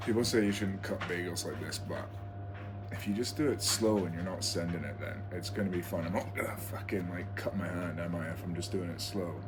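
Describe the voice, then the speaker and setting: A man's fairly low voice with monotone, flat intonation, audible room echo and noticeable background noise. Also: fairly quick pace. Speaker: vlogger and rower. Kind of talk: casual vlog. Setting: at home.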